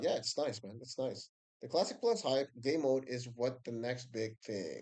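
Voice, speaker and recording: This man has a non-native accent, a dark, mellow tone and ordinary pitch variation. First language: not English. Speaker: video game streamer. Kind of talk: live stream commentary. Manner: casual, halting with fillers.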